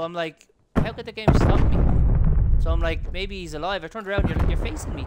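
This man, in an Irish accent, moves at a fairly quick pace with big swings in loudness. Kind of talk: casual gaming chat.

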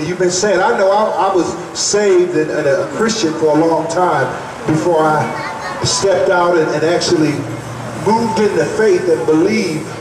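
A man's high-pitched voice with fairly even intonation, plus audible room echo and noticeable background noise. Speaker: evangelist preacher. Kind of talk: sermon. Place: tent. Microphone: podium.

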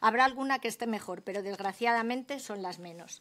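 A woman's fairly high-pitched voice, a normal speaking voice, at a fairly quick pace with ordinary pitch variation. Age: 50s. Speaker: hotel housekeeper and trade unionist. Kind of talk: parliamentary testimony. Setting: senate committee hearing.

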